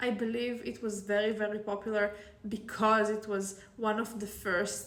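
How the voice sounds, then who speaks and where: In a room with audible echo, a woman with an Israeli accent talks at a fairly slow pace in a fairly high pitch. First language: Hebrew. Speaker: author. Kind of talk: casual vlog talk.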